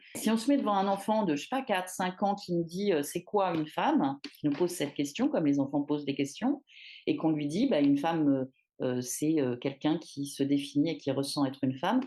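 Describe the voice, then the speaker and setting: A woman's very deep, low, dark and mellow voice at a fairly quick pace, with very wide pitch swings, big swings in loudness, and a quiet background. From Paris, France. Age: 50s. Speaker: feminist activist. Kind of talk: testimony. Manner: hesitant, many fillers.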